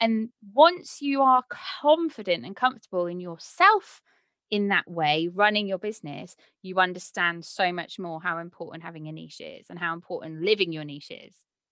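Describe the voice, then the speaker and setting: A woman talks at a medium pitch in a bright, sharp tone. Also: lively intonation, moderate pace. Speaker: podcast host and property surveyor. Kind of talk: casual chat. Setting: video call.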